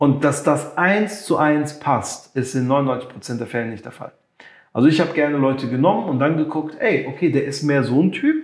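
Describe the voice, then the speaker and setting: A man speaks at a moderate pace with ordinary pitch variation. His pitch sits fairly high. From Germany (raised from infancy, Moroccan family; Limburg area). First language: French and Moroccan Arabic (speaking German). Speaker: music producer and creative entrepreneur. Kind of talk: interview.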